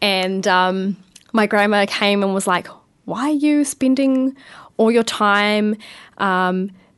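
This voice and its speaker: Her pitch fairly high with ordinary variation, a woman speaks at a fairly slow pace over a quiet background. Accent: New Zealand. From New Zealand, Porirua near Wellington. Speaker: young council candidate. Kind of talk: radio interview. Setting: radio studio.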